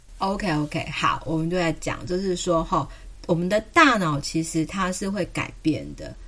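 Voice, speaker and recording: A woman's fairly low voice with a Taiwanese accent, bright and sharp in tone, at a moderate pace with ordinary pitch variation. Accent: Taiwanese Mandarin. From southern Taiwan (Kaohsiung). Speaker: pediatrician. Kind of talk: casual chat.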